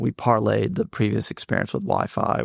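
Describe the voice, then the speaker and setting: A man with a Southern US accent, recorded in a dry, close sound with no echo. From North Carolina (Mebane). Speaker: tech startup CEO. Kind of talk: casual interview.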